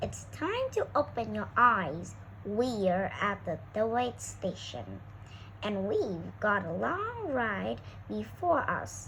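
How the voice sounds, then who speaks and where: Through clear background noise, a woman puts on a character voice at a very slow pace. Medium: read story. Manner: brisk, businesslike.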